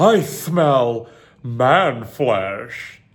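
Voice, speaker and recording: A put-on character voice from a man at medium pitch, with audible echo. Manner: silly, growling.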